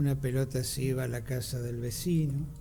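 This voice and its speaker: A fairly high-pitched man's voice, dark and mellow in tone and somewhat breathy, at a moderate pace, with audible room echo. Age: 70s. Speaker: radio co-host. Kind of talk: radio discussion.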